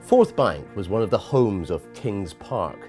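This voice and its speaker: At a moderate pace, a man talks while music plays in the background. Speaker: celebrity chef. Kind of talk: promotional narration.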